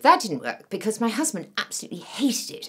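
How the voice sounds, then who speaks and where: The voice has vocal fry and very wide pitch swings at a fairly quick pace. The background is quiet. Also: woman. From England. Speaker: actor. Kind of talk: casual audition self-introduction. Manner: energetic, chatty. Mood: humorous, playful.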